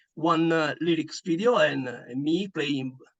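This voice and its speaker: A man with an Italian accent at a fairly slow pace. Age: 40s. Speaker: metal band bassist. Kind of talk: interview. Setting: online call. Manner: halting, many fillers.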